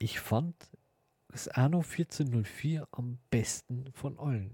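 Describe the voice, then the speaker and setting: A man talks at a very slow pace and medium pitch, somewhat breathy, with a dark, mellow tone. The sound is dry and close, with no echo. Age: 40s. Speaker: podcast host. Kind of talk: casual monologue.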